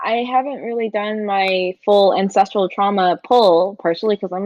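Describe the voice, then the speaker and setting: The speaker is a woman with a Chicago accent. Her pitch sits in the medium range. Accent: Chicago Midwestern. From Chicago, US Midwest. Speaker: tarot reader and artist. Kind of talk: casual chat.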